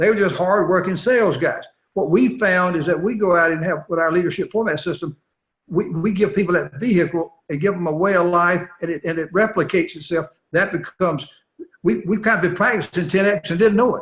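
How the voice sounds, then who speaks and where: A man talks at a high pitch and a fairly quick pace. His pitch variation is ordinary. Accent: Southern US. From US South. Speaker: company CEO and interviewer. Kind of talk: interview. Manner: repetitive, stammering.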